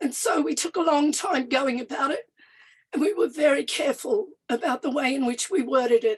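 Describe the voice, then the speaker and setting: With an Australian accent, a woman speaks at a fairly quick pace in a high pitch. Her intonation is lively, and the sound is dry and close with no echo. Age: 60s. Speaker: First Nations activist and party official. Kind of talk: panel talk. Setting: live event with audience and online. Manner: some hesitations and restarts.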